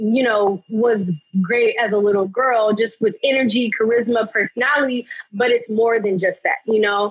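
A woman with an American accent uses a normal speaking voice at a fairly high pitch, keeping fairly even intonation, a moderate pace and very even loudness. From Los Angeles, California. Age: 20s. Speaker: actress. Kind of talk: podcast interview.

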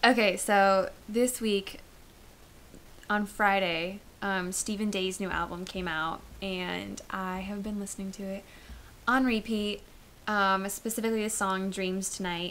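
With music in the background, a woman of medium pitch speaks at a fairly slow pace in monotone, flat intonation. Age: 20s. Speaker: college podcast co-host. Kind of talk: casual chat.

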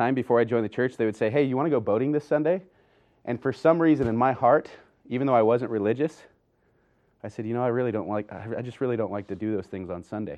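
A man speaks very fast with an American accent. His pitch is medium, with ordinary variation. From Idaho. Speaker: seminary teacher. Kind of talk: devotional talk.

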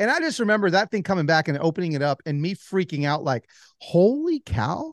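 Recorded dry and close with no echo against a quiet background, a man with an American accent talks at a moderate pace in a high pitch with very wide swings. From Los Angeles, then Atlanta. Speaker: author. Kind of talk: interview. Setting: video call.

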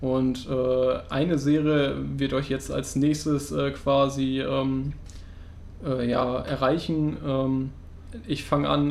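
A man talks at a medium pitch while noticeable background noise and audible room echo fill the clip. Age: 20s. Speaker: podcast co-host, student. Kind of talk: casual chat.

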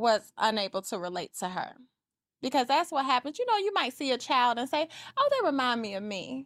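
In a dry, close recording with no echo, a woman with a high pitch talks at a fairly quick pace, her voice making very wide pitch swings. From Atlanta, Georgia. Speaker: real estate agent. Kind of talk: casual chat.

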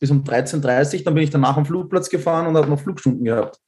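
A man with a fairly high pitch sounds somewhat breathy, his pitch varying in an ordinary way. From Austria. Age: 20s. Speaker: pilot. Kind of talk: casual chat.

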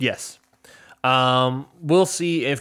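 In a plain, everyday voice, the pitch varies in an ordinary way. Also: man. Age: 20s. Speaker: podcast host. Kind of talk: casual chat. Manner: laughs often.

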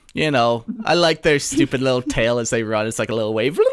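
This man uses a normal speaking voice, pitched medium, and keeps a moderate pace. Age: 30s. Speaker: podcast co-host. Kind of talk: casual chat.

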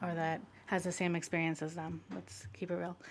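A woman with a normal speaking voice talks at a moderate pace with a fairly low pitch. The recording is very clean, with a silent background. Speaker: civil rights advocate. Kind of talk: casual conversational interview.

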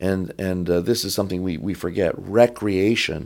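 Over a very clean recording with a silent background, a man with an American accent speaks in a dark, mellow tone at a fairly low pitch with ordinary pitch variation. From Michigan (Detroit). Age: 60s. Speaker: Orthodox priest. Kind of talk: casual chat.

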